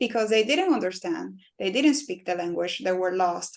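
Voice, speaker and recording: A woman talks with a Spanish accent. Her pitch is medium. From Cuba. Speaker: personal injury lawyer. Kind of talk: interview.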